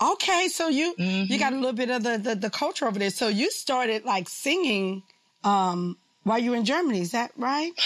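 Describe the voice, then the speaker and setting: The speaker's tone is animated and upbeat, with very wide pitch swings. The pace is fairly quick. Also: woman, fairly high pitch for a woman. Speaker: radio show host. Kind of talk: interview with scripted intro. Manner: animated, upbeat.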